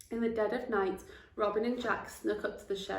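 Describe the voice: The recording features plain reading aloud.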